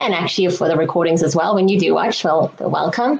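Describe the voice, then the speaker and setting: A woman speaks with a South African accent. Her pitch is medium, with ordinary variation. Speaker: regulatory affairs consultant, presenter. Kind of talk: webinar presentation.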